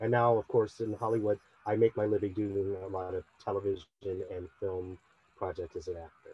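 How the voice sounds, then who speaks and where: Dry and close with no echo, a man with an American accent speaks at a moderate pace in a somewhat breathy, dark, mellow tone with monotone, flat intonation. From US Midwest, Cleveland Heights, Ohio. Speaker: actor. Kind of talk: panel discussion.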